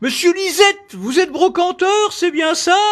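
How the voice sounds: A man in a put-on character voice at an extremely high pitch. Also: moderate pace.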